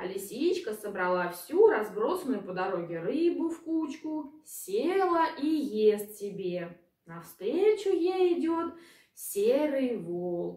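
Slowly and with big pitch swings, a woman speaks in a dark, mellow tone. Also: fairly high pitch for a woman.

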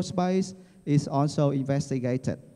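A dark, mellow tone with a Vietnamese accent, ordinary pitch variation and a very slow pace over a quiet background. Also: man. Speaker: university dean. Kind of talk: formal speech. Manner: formal. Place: hall. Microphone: handheld.

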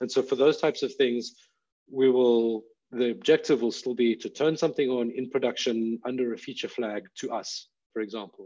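Fairly even intonation marks this man's speech. His pace is moderate. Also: slightly mellow tone.

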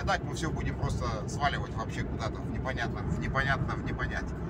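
Loud background noise surrounds a man who speaks at a very fast pace. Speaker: driver vlogger. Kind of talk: casual vlog chat. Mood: ironic, mildly critical. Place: car. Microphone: phone near.

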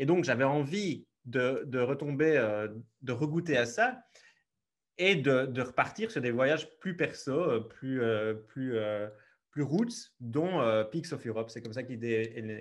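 A man at medium pitch speaks at a very slow pace with long, frequent pauses. His pitch varies in an ordinary way against a quiet background. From Belgium, Liège region; Belgium. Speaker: travel photographer; podcast guest. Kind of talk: interview. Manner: hesitant, many fillers. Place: home room. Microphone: earbuds.

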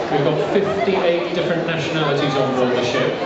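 A man speaks at a moderate pace with ordinary pitch variation. Crowd noise sits in the background, with audible room echo. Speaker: cruise ship host. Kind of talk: welcome speech to passengers. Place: hall.

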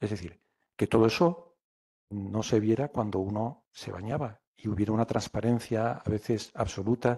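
Against a quiet background, the voice moves at a fairly slow pace, somewhat breathy and dark and mellow in tone, with ordinary pitch variation. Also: man. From Alicante, Spain; Spain. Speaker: poet. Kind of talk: poetry reading and talk. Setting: live event with audience. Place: classroom. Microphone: podium.

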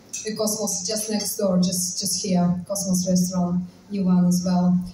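A woman's voice comes through audible room echo and light background noise. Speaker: cafe host. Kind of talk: announcement to audience. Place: cafe. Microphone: camera far.

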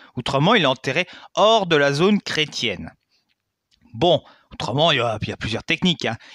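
A man speaks at a moderate pace with a bright, sharp tone and a fairly high pitch. His pitch swings very widely, and he leaves long, frequent pauses. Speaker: history YouTuber. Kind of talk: educational monologue. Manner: hesitant, many fillers; casual, colloquial.

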